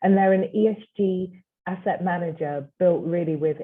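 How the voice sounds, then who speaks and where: A woman with a British accent speaks at a moderate pace in a fairly low pitch with ordinary pitch variation. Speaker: chief compliance officer. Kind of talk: panel discussion.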